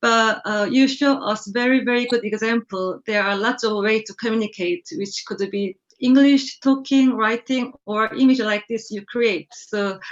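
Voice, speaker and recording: Hardly pausing at all, a woman with a non-native accent speaks at a moderate pace with ordinary pitch variation. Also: fairly high pitch for a woman. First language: not English. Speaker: car design judge. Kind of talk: panel feedback. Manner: halting.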